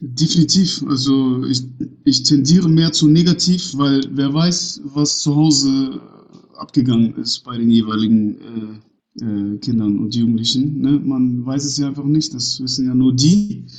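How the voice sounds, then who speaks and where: This man's pitch sits at a medium level with ordinary variation. He speaks fairly slowly. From northern Germany, Bremen. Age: 30s. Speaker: youth sports organization director. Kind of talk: interview. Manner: hesitant, many fillers.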